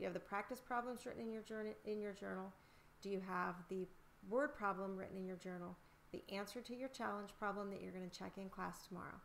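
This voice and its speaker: The woman talks at a very fast pace with a medium pitch. Her intonation stays fairly even. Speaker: elementary school teacher. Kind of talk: tutorial.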